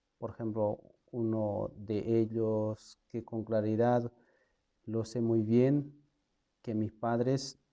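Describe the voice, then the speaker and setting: A man's voice with a dark, mellow tone, medium pitch, and a very slow pace. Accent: Andean. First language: Quechua (speaking Spanish). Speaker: lay preacher. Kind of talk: casual video introduction. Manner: halting, with fillers.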